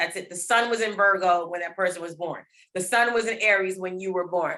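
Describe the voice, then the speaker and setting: Using a plain, everyday voice with an American accent, a woman talks at a fairly quick pace, keeping her medium pitch in fairly even intonation. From US East Coast, Baltimore. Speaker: rapper and astrologer. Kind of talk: casual interview, explaining astrology.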